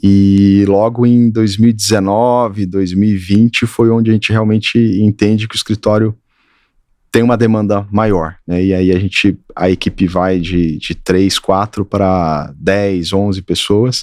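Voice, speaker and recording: A man with a rural Minas Gerais accent speaks at a fairly slow pace with a fairly low pitch and fairly even intonation. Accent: Minas Gerais countryside. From Brazil, Triângulo Mineiro, Minas Gerais. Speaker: architect. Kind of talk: interview.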